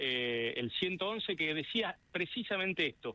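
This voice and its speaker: This is a man speaking. His intonation is lively. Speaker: politician. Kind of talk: radio interview. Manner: halting.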